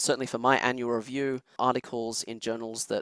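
Someone with an Australian accent speaks at a fairly quick pace in a dry, close sound with no echo. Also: man. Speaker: chemistry professor, former journal editor. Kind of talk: interview.

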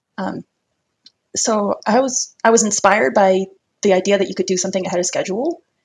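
In an American accent, a woman at medium pitch talks at a fairly quick pace, somewhat breathy, with long, frequent pauses. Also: ordinary pitch variation. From US South. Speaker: early retiree, personal finance. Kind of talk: interview.

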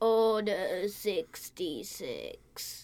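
With a put-on character voice, a female-sounding speaker uses a raspy, fairly high pitch.

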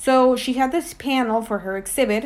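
Here a woman speaks in a Spanish accent. Her pitch variation is ordinary. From Mexico. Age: 20s. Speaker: art curator. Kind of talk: casual interview.

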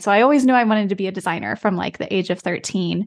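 A plain, everyday voice with an American accent and ordinary pitch variation. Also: woman, quiet background. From United States. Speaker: branding and web design studio founder. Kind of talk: interview.

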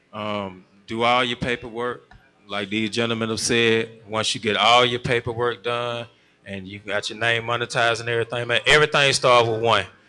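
The man's bright, sharp tone holds a monotone, flat intonation. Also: medium pitch for a man, moderate pace. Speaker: recording artist and audio engineer. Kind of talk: panel discussion. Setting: stage with audience.

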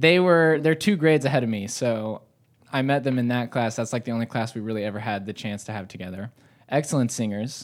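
With an American accent, a man talks at a fairly quick pace in an unremarkable speaking voice, his pitch medium and its variation ordinary. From US South, north Georgia. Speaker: coffee roaster. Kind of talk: casual chat.

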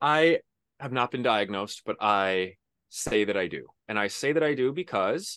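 Here is a plain, everyday voice: a man at medium pitch with lively intonation and a moderate pace. The sound is dry and close with no echo, and the background is quiet. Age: 30s. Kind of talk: interview.

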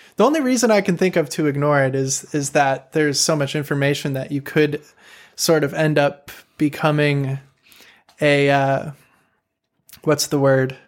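The speaker talks at a moderate pace with a Chicago accent, fairly even intonation, and long, frequent pauses. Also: man, fairly high pitch for a man. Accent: Chicago American English. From US Midwest, Chicago. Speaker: woodwind player and composer, YouTuber. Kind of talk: casual interview. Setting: video call.

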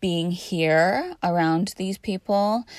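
The pace is very slow as this woman talks. Her recording is very clean, the background silent. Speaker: podcast host. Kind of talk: casual monologue. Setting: in a parked truck. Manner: hesitant with many fillers.

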